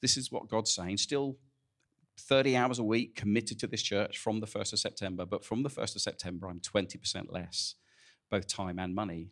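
A man with a plain, everyday voice speaks at a fairly quick pace, fairly low in pitch with ordinary pitch variation, on a very clean recording with a silent background. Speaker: church pastor. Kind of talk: casual welcome and announcements. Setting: church.

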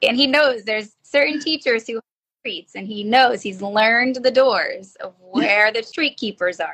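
In a New Jersey accent, a woman speaks fairly slowly at a high pitch with ordinary variation. Her loudness swings a lot. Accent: New Jersey American. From northern New Jersey. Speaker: special education teacher. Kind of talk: interview.

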